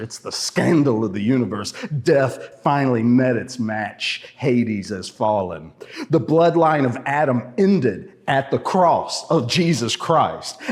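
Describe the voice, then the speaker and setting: Using lively intonation, a man speaks at a medium pitch and a fairly slow pace with hardly any pauses. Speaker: preacher. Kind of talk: sermon delivered to a congregation. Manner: commanding, forceful, rhetorical.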